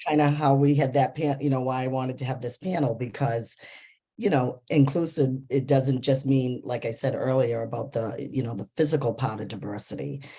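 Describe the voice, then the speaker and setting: At a fairly quick pace, a woman with a slight New England accent speaks in a very deep, low pitch with a dark, mellow tone and fairly even intonation. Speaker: panel moderator. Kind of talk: panel discussion.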